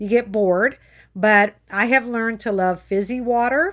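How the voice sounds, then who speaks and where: In a plain, everyday voice, the speaker goes at a moderate pace with ordinary pitch variation on a very clean recording with a silent background. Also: woman. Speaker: health coach. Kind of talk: live video motivational talk. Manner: casual, chatty.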